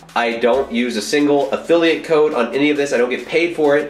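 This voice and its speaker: Faint music plays in the background with audible room echo as the speech moves at a fairly quick pace with ordinary pitch variation. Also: man. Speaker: fitness vlogger. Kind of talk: casual vlog chat. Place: bathroom. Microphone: phone near.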